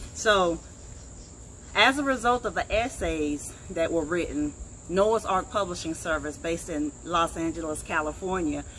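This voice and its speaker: At a fairly slow pace, a woman speaks with a fairly low pitch and ordinary pitch variation. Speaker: online show host. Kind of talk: casual interview. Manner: loud.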